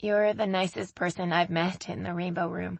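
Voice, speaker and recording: Putting on a character voice, a woman sounds raspy and fairly low in pitch, speaking at a moderate pace. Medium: read story. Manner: talkative.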